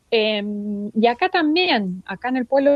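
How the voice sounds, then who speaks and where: Fairly high-pitched speech from a woman with an Argentine accent. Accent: Argentine Spanish (rioplatense voseo). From Argentina, Gaiman, Chubut (Patagonia). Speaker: poet. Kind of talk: interview. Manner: hesitant, many fillers.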